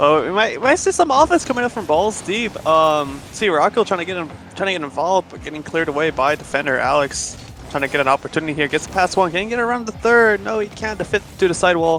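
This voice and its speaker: Over noticeable background noise, a high-pitched man talks at a very fast pace with lively intonation. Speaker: esports caster. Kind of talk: live commentary.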